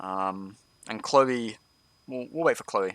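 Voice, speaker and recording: A man's medium-pitched voice with a dry, close sound and no echo. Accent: Scottish. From Scotland. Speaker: gaming streamer, tank guide. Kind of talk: live gameplay stream with commentary and chat. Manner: casual, conversational.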